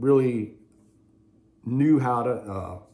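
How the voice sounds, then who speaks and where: A man with an American accent speaks in a relaxed tone. Audible room echo surrounds his voice. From Ohio, US Midwest. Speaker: drummer and vlogger. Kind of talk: casual storytelling. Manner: relaxed, many fillers.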